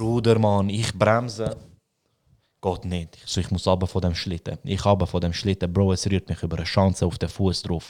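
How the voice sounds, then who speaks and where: A man's very deep, low voice with a Swiss accent at a moderate pace, in a very clean recording with a silent background. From Switzerland. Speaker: podcast host. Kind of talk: casual chat. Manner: animated.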